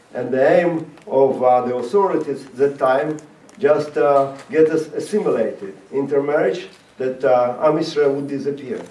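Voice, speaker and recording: Over noticeable background noise and audible room echo, a man speaks at a moderate pace with a fairly high pitch. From Latvia (Riga), Soviet Union. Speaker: rabbi and former Soviet prisoner. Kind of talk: talk to high school students. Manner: halting, many fillers.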